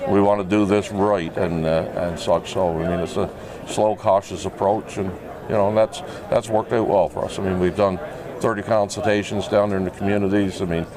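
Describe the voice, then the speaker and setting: With noticeable background noise behind him, a man with a fairly low pitch talks fairly quickly in a flat monotone. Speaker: health and safety lead, former seafarer. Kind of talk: casual interview. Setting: trade show floor. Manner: halting, many fillers.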